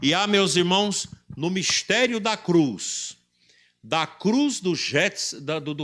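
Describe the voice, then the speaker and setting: Over a very clean recording with a silent background, a man speaks at a very slow pace in a high pitch, with ordinary pitch variation and a bright, sharp tone. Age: 60s. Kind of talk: sermon.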